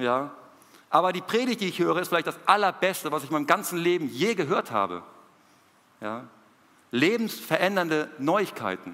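Speaking at a moderate pace with long, frequent pauses, a man uses a high pitch, a bright, sharp tone, and lively intonation. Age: 30s. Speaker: missionary preacher. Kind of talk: sermon.

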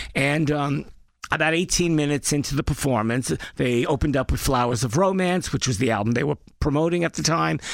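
In a very clean recording with a silent background, a man with a strong New York accent speaks at a very fast pace, his fairly high pitch showing ordinary variation and his loudness staying very even. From Brooklyn, New York. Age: 60s. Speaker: former record label executive. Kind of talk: interview. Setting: studio.

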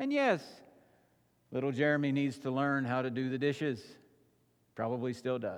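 With audible room echo, a man speaks in a monotone, flat intonation at a medium pitch and moderate pace, leaving long, frequent pauses. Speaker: pastor. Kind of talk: sermon. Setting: church.

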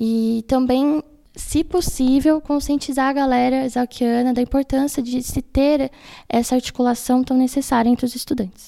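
A woman with a high pitch and a dark, mellow tone talks at a moderate pace. Her loudness stays very even, and her intonation is fairly even. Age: 20s. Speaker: student union president. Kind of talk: casual interview. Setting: in-person studio interview. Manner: formal.

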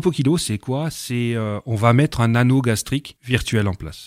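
The speech moves at a moderate pace with ordinary pitch variation. The recording is very clean with a silent background, and the sound is dry and close with no echo. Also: man. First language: not French (speaking French). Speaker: language school director and hypnotherapist. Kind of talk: radio interview.

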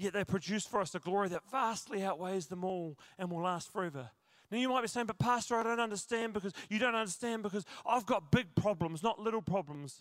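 Talking at a fairly quick pace, a man with a South Island New Zealand accent speaks at a high pitch. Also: ordinary pitch variation, very clean recording, silent background. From New Zealand, South Island. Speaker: pastor. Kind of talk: sermon. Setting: church.

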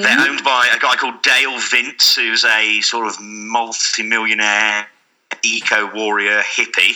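In a plain, everyday voice, the speaker moves at a fairly slow pace with fairly even intonation. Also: man, medium pitch for a man. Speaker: podcast guest.

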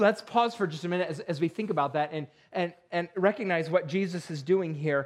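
Speaking at a fairly quick pace, a man with an American accent has a high voice with ordinary pitch variation. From western New York (Perry). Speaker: pastor. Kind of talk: sermon. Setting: church. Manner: halting, many fillers.

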